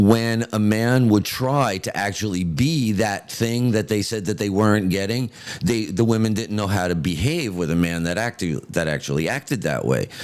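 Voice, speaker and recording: His pitch sits fairly low, and he moves at a moderate pace. The man's intonation is lively. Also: hardly any pauses. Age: 60s. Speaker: podcast co-host. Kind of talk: casual chat. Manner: halting.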